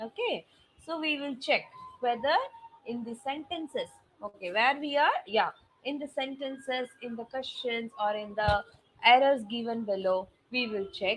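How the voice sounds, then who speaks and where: A woman's high-pitched voice with ordinary pitch variation and long, frequent pauses. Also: moderate pace, big swings in loudness. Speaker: SAT English teacher. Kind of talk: online lecture. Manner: loud.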